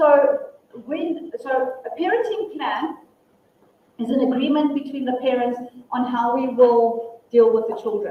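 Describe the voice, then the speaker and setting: Loud and high-pitched, a woman speaks at a fairly slow pace with lively intonation amid audible room echo. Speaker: family law attorney and mediator. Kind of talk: workshop presentation and Q&A.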